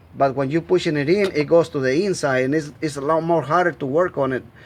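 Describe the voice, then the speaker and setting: A man with a Spanish accent talks at a fairly quick pace and a fairly high pitch. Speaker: amateur mechanic. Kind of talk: tutorial. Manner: halting.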